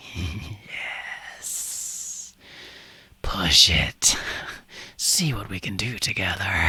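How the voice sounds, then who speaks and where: A man's put-on character voice, fairly low in pitch, at a very slow pace with long, frequent pauses. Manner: encouraging, coaxing.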